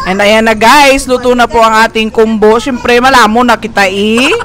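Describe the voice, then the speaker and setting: With noticeable background noise behind her, a woman speaks in an upbeat tone. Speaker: vlogger. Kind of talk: casual vlog narration to camera.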